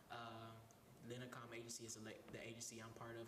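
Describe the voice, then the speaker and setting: A man of medium pitch talks at a moderate pace, with audible room echo and noticeable background noise. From Detroit, Michigan, US. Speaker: actor and singer. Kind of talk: radio interview.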